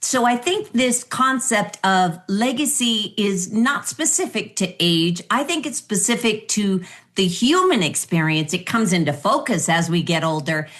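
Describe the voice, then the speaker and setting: Over a quiet background, a woman at medium pitch talks at a fairly slow pace with hardly any pauses, very even loudness, and very wide pitch swings. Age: 60s. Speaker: interview host. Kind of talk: interview conversation.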